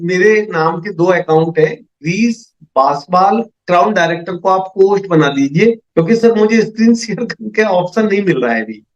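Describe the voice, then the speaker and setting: The man's pitch is high, with ordinary variation. He speaks with hardly any pauses. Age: 60s. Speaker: MLM business presenter. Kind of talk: sales pitch. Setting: video call. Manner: animated.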